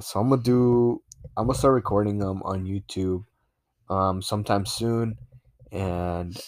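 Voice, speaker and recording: On a very clean recording with a silent background and a dry, close sound with no echo, a man speaks at a fairly low pitch with ordinary pitch variation. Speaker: podcast host. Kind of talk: casual chat. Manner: animated.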